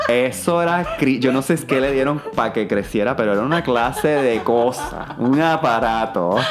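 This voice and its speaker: Noticeable background noise surrounds a man speaking at a moderate pace and medium pitch with ordinary pitch variation. His loudness stays very even and he takes hardly any pauses. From Puerto Rico. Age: 30s. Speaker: publicist. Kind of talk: casual chat.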